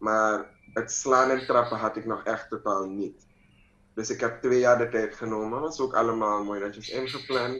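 A man's medium-pitched voice at a moderate pace, with fairly even intonation and audible room echo. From Suriname. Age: 20s. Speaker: mixed martial arts fighter; interviewee. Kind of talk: interview. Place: home room. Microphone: video call.

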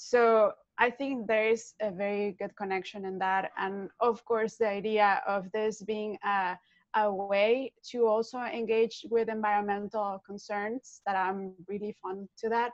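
Against a quiet background, a woman with a fairly high pitch speaks in a monotone, flat intonation at a fairly slow pace. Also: dry sound with no echo. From Mexico. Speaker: artist and researcher; project co-creator. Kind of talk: panel discussion on video call. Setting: video call, in her kitchen. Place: kitchen. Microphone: earbuds.

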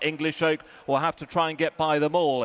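A man's voice, an unremarkable speaking voice, comes through at a fairly high pitch. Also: dry, close sound with no echo. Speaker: racecourse commentator. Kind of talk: live horse race commentary. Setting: racecourse PA. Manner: rapid-fire, fluent, building excitement through the finish; clipped, rhythmic delivery of horse names and positions.

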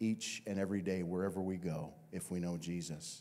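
With a dark, mellow tone, a man talks at a fairly slow pace. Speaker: pastor. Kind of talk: sermon. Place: church. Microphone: handheld.

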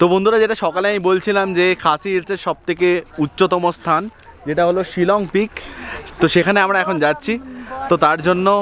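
A man speaks at high pitch with fairly even intonation. There is light background noise, and the sound is dry with no echo. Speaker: travel vlogger. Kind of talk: casual vlog chat. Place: street. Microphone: phone near.

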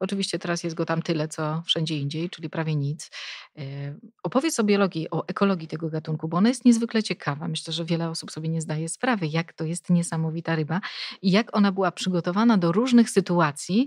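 A woman speaks very fast at a fairly low pitch with ordinary pitch variation, recorded very cleanly against a silent background with a dry, close sound and no echo. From Poland, Szczecin area. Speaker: podcast host. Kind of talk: casual interview.

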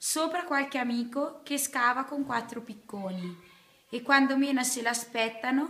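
Her high pitch and bright, sharp tone carry ordinary pitch variation as the woman speaks at a fairly slow pace. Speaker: poem reader. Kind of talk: poetry reading. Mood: calm, earnest. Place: classroom. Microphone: phone near.

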